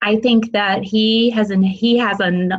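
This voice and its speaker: A woman is speaking. She talks with a Midwestern accent. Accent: Midwest twang. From US Midwest, Illinois. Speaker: parent. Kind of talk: interview. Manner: halting.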